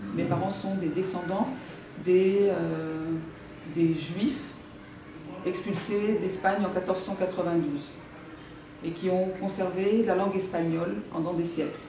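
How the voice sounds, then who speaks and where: At a very slow pace, a woman talks at a medium pitch with fairly even intonation and long, frequent pauses. Audible room echo and noticeable background noise surround her voice. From France, Paris. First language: Spanish (Judeo-Spanish) (speaking French). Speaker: author. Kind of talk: talk to school class with reading aloud. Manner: halting.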